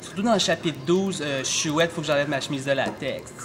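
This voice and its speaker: Against noticeable background noise, a man talks at a high pitch with ordinary pitch variation. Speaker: comic character. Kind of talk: comedy sketch dialogue. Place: shop. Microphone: phone near.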